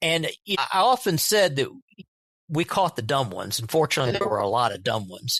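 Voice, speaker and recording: At a very fast pace, a man with a fairly high pitch and vocal fry speaks with very wide pitch swings. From Kentucky, Louisville. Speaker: retired drug agent and TV writer. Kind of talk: casual interview.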